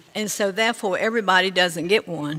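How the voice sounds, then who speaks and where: A woman's medium-pitched voice in a Virginia accent, with ordinary pitch variation and a moderate pace. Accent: Southern US (Virginia). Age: 80s+. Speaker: resident speaking at public hearing. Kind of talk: public comment at meeting. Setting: county board meeting room.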